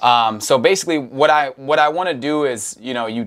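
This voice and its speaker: A man with an American accent talks fairly slowly in an unremarkable speaking voice with ordinary pitch variation, recorded very cleanly against a silent background. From Wisconsin, US Midwest. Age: 20s. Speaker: podcast host and rapper. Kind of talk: casual conversation.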